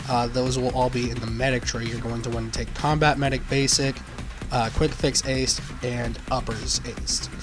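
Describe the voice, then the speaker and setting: Music playing behind a man at a moderate pace. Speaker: gaming guide creator. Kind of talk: game tutorial voiceover. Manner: casual, hesitant, many fillers.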